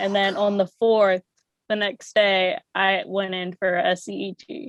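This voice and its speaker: In an ordinary speaking voice with an American accent, a woman talks fairly slowly at a medium pitch with ordinary pitch variation, the sound dry and close with no echo. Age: 20s. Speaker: podcaster with epilepsy. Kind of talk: casual interview.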